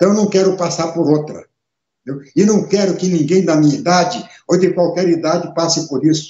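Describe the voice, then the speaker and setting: Talking at a fairly quick pace, a man speaks with high pitch. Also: fairly even intonation. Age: 70s. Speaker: radio and internet show host, former politician. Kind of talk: live webcast monologue. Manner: emphatic, repetitive.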